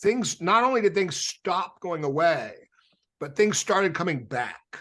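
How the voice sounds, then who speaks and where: A man with a high pitch and lively intonation speaks at a fairly slow pace. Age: 60s. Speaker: rock musician. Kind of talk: casual chat.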